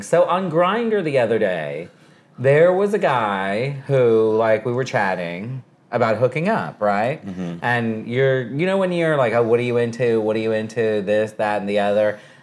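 With an American accent, a man speaks in an unremarkable speaking voice at a medium pitch, using lively intonation at a moderate pace. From Texas. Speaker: radio host. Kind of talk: casual chat. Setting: at his home.

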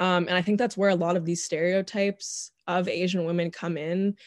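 Against a quiet background, a woman with an American accent talks at a fairly quick pace. She has an unremarkable speaking voice, medium in pitch with fairly even intonation. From US, Northern Virginia. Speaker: podcast guest. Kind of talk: casual chat.

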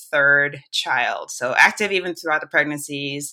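The tone is bright and sharp, with ordinary pitch variation. The recording is very clean, with a silent background. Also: woman. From Jamaica. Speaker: emergency physician and podcaster. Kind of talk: interview conversation.

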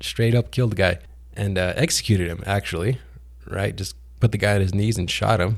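On a very clean recording with a silent background, a man with a fairly low pitch and vocal fry speaks at a fairly quick pace with lively intonation. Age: 30s. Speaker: podcast host. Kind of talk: casual monologue. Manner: casual, laughs often.

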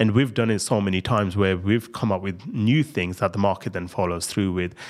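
Over a silent background in a very clean recording, a man talks at a very fast pace, his fairly low pitch varying in an ordinary way. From India, moved to UK at 14. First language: not English. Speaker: founder of a coding school. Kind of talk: interview.

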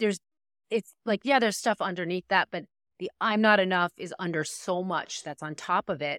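At a moderate pace, a woman with an American accent speaks in an unremarkable speaking voice, medium in pitch with ordinary variation. The sound is dry and close, with no echo. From New York, US. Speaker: coach and attorney. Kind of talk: interview, casual conversation. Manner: conversational, reflective, filler words.

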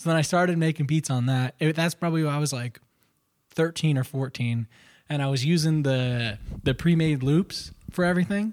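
On a very clean recording with a silent background, a man with a plain, everyday voice talks at a fairly quick pace, the sound dry and close with no echo. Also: fairly high pitch for a man, ordinary pitch variation. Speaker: guest, musician. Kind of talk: casual chat. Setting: studio.

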